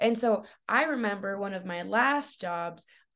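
A woman talks at a fairly slow pace with a fairly high pitch, an animated tone and lively intonation. The background is quiet. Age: 20s. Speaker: college student and nursing assistant. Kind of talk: casual chat.

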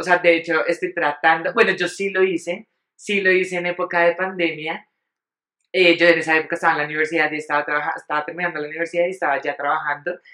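The voice has a bright, sharp tone. It moves at a very fast pace in a monotone, flat intonation. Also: woman, fairly low pitch for a woman. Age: 30s. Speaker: podcast co-host. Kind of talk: casual chat.

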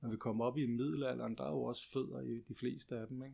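A man's normal speaking voice at a medium pitch and moderate pace, against a quiet background. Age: 50s. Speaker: living history practitioner and craftsman. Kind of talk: casual interview conversation.

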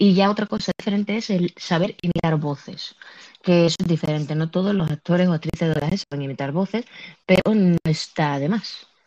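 A plain, everyday voice at a fairly quick pace, with ordinary pitch variation and a dry, close sound with no echo. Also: woman. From Andalusia, Spain. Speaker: podcast host and streamer. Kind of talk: casual chat. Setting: live audio app on phone.

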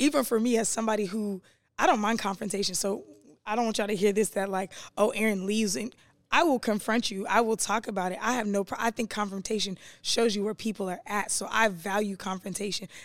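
In a very clean recording with a silent background, a woman with an unremarkable speaking voice talks fairly quickly at a fairly high pitch with ordinary pitch variation. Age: 30s. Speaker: podcast co-host and entrepreneur. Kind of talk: casual chat.

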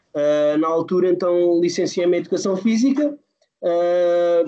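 Speaking at a fairly slow pace, a man with a high pitch has a dark, mellow tone and ordinary pitch variation. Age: 40s. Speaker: youth football coach. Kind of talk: podcast interview. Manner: halting, many fillers.

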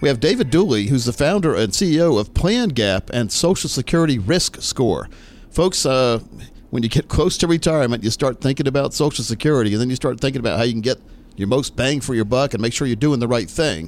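With an unremarkable speaking voice, a man at medium pitch talks at a fairly quick pace with lively intonation. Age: 50s. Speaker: financial advisor and radio host. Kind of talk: radio show interview.

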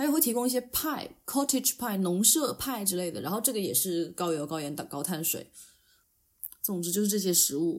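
This woman talks at a medium pitch, and her pitch swings very widely. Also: moderate pace. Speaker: podcast co-host. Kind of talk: casual chat.

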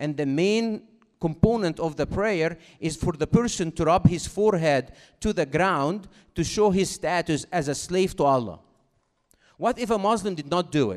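A man with an Egyptian accent speaks at a moderate pace in a high voice with ordinary pitch variation over a quiet background. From Egypt, Cairo. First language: Arabic. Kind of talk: talk to school audience. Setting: stage with audience. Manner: interactive, engaging.

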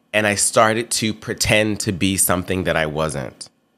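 A man with an American accent speaks at a moderate pace in an animated, bright, sharp tone. The recording is very clean with a silent background. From US South, Memphis, Tennessee. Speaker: podcast host. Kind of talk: personal monologue.

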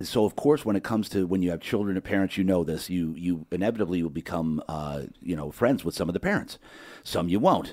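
A man's very deep, low voice at a fairly quick pace, with ordinary pitch variation, in a very clean recording with a silent background. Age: 50s. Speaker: podcast host. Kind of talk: casual interview. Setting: studio. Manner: animated.

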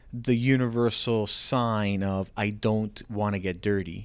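In a very clean recording with a silent background, a man with a Canadian accent talks at a fairly low pitch in a monotone, flat delivery. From Ontario, Canada (Markham). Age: 40s. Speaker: realtor and business owner. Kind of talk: casual interview. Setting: studio, on a couch on camera.

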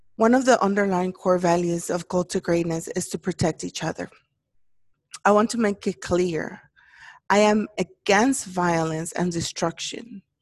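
A woman speaks in a normal speaking voice at a medium pitch and moderate pace. Her pitch varies in an ordinary way, and the sound is dry and close with no echo. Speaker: podcast host. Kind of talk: personal solemn address about racism. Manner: emotional, earnest.

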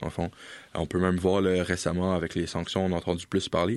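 The background is quiet as a man talks at a fairly quick pace. His pitch is very deep and low. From Europe. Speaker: political science student. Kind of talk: casual expert discussion.

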